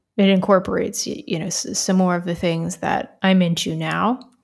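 At a medium pitch and with ordinary pitch variation, this woman has an ordinary speaking voice. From US South, Florida. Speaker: audio engineer and music technologist. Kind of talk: casual chat. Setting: video call.

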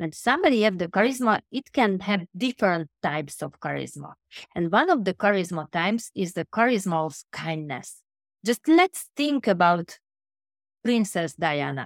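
A woman's voice at a moderate pace with very wide pitch swings, dry and close with no echo, on a very clean recording with a silent background. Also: medium pitch for a woman. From Hungary, Budapest. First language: Hungarian. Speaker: transformation coach and author. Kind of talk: interview conversation. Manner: halting.

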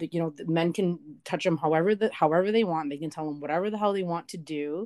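In a very clean recording with a silent background and a dry, close sound with no echo, a woman with a plain, everyday voice speaks fairly quickly at a fairly low pitch with ordinary pitch variation. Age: 20s. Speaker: digital marketer and activist guest. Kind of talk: casual interview.

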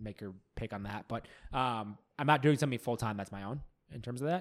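In a very clean recording with a silent background, the voice moves at a moderate pace with ordinary pitch variation. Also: man. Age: 30s. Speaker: podcast host. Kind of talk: casual interview chat. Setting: in person, same room.

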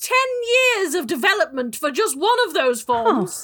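Putting on a squeaky character voice, a woman speaks high at a moderate pace with very wide pitch swings. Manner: officious, scornful.

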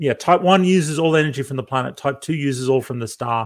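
A man's voice with ordinary pitch variation on a very clean recording with a silent background. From Australia (outback). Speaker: professor. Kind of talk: interview.

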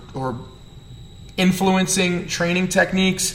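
A man speaks with a New Jersey accent. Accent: New Jersey, noticeable. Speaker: strength coach and podcast host. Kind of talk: solo podcast rant. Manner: animated, fired up, fast.

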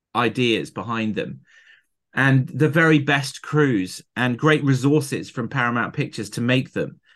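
A man with a southern English accent over a quiet background. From southern England. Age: 50s. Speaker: film editor. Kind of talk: interview. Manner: animated.

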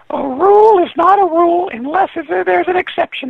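Extremely high pitch in a put-on character voice. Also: moderate pace. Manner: greedy.

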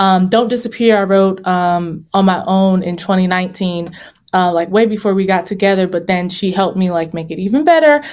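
Speaking at a fairly quick pace, a woman with an American accent uses an ordinary speaking voice at medium pitch with ordinary pitch variation. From Virginia. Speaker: singer-songwriter and vocal coach. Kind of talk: interview.

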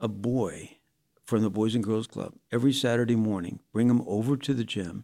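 A man with a US Midwestern accent speaks at a moderate pace in a medium-pitched voice with a dark, mellow tone. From Indiana, US Midwest. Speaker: pastor. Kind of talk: casual interview, telling his life story.

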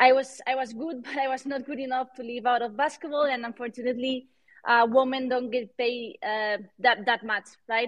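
A woman with a Spanish accent speaks in a high pitch. Her pace is moderate and her intonation fairly even. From Spain. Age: 30s. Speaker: NFT artist and entrepreneur. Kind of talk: interview. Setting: live online audio room. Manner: halting.

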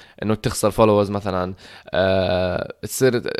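A man talks at a moderate pace. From Jordan. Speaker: content creator. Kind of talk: casual chat.

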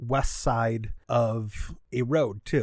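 This man has an American accent. He speaks at a medium pitch. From Michigan, US (Troy, Metro Detroit). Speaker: comedian. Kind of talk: casual chat.

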